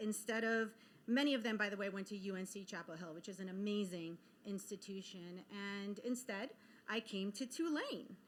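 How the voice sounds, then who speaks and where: A woman speaks with an Israeli accent at a medium pitch. Her pace is moderate and her pitch variation ordinary. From Israel, then US moves from age ten. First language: Hebrew. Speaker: keynote speaker, media executive. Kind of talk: keynote speech. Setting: conference stage with audience.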